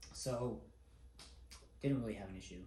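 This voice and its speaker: The voice belongs to a man. Room echo is audible around it. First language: not English. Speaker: air force airman and family vlogger. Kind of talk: vlog monologue. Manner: casual.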